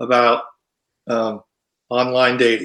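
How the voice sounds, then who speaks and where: With a bright, sharp tone, a man talks at a fairly slow pace. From Ohio. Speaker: country singer. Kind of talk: interview.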